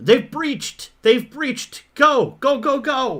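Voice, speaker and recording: An extremely high-pitched, put-on character voice from a man, delivered rather slowly. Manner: urgent, shouting.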